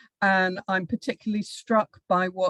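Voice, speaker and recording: An unremarkable speaking voice moves at a moderate pace. The sound is dry and close, with no echo. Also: woman. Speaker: professor. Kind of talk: lecture. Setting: video call.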